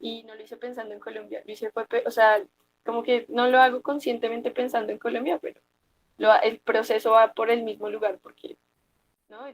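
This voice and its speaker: Speaking at a fairly quick pace, a woman with a plain, everyday voice and a fairly high pitch shows ordinary pitch variation and big swings in loudness, in a dry, close sound with no echo. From Bogotá, Colombia. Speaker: poet. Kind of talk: interview answer.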